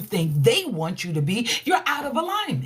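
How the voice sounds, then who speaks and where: Loud and animated, the speaker talks at a moderate pace in an American accent over noticeable background noise. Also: woman. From New York. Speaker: relationship coach. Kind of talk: livestream motivational talk.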